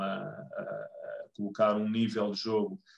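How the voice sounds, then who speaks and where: This voice belongs to a man. Its pitch is medium. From Lisbon, Portugal. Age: 30s. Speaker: American football club member. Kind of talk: podcast interview. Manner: halting, many fillers.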